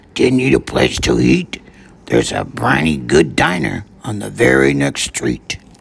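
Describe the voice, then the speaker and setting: Putting on a raspy character voice, a man speaks at a very deep, low pitch with lively intonation. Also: moderate pace. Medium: read story.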